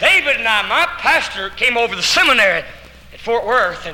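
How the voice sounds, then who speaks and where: With an Arkansas accent, a man speaks at an extremely high pitch amid audible room echo and noticeable background noise. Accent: Southern US (Arkansas). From Arkansas, US South. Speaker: evangelist. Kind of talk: testimony. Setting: church, live audience. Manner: animated.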